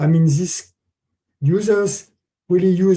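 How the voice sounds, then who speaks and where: A man with a French accent, a somewhat breathy, dark and mellow tone, ordinary pitch variation and a moderate pace. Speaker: conference speaker, testing expert. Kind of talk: conference Q&A answer. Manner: halting, many fillers.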